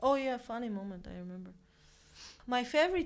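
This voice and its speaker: In a Romanian accent, a woman speaks at a fairly high pitch. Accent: good Romanian accent, others praise it. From Armenia. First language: Armenian. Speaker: volunteer and colleague. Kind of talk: casual chat.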